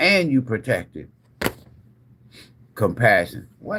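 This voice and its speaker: A man talks at a fairly slow pace in an animated tone with vocal fry. His pitch swings very widely. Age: 60s. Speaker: tarot reader. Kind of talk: live-stream tarot reading.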